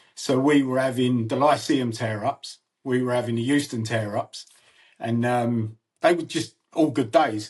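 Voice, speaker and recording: A man's somewhat breathy voice at medium pitch and a moderate pace. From north London, Archway. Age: 60s. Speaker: podcast host. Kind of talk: casual interview chat.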